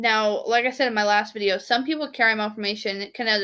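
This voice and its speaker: A woman's fairly high voice at a very fast pace. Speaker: awareness vlogger with chronic illness. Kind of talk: personal vlog explaining symptoms. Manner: casual with frequent filler words.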